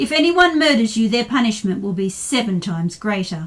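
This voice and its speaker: Using a put-on character voice, a woman growls at a fairly high pitch and a fairly quick pace. Her pitch swings very widely. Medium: read story. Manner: grave, authoritative.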